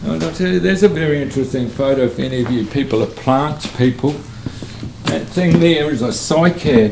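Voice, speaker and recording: Lively intonation from a man with a New Zealand accent, amid noticeable background noise. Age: 70s. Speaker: hot rod builder. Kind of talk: interview answer. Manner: casual, chatty.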